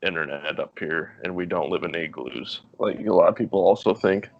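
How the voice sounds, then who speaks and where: A man with a North Dakota accent at a moderate pace. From North Dakota (Minot). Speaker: podcast guest, former water park lifeguard. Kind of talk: casual chat.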